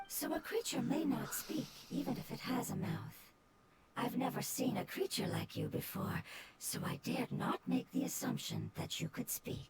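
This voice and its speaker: A put-on character voice is pitched fairly high. It moves at a moderate pace. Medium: video game. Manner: formal, precise.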